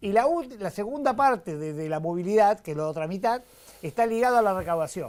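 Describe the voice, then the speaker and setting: This man talks at a fairly quick pace, his high voice making very wide pitch swings. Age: 60s. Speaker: politician. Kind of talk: TV interview. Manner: halting, many fillers.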